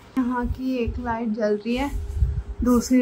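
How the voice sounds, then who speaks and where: A woman is speaking. Her pace is fairly slow. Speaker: home vlogger. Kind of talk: casual vlog chat. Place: home room. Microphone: phone near.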